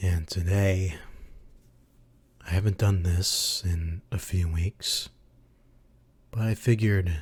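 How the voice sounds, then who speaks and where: The speaker is somewhat breathy and goes at a very slow pace with fairly even intonation and long, frequent pauses, on a very clean recording with a silent background. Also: man, very deep, low pitch for a man. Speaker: anime YouTuber and streamer. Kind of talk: live ASMR history lecture. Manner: whispered.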